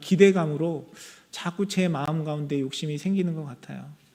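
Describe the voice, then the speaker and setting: A man with a high pitch and a dark, mellow tone. His intonation stays fairly even. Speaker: pastor. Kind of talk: sermon.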